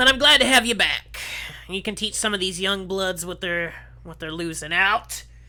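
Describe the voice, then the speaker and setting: A put-on character voice, female-sounding, at medium pitch and a moderate pace. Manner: harsh.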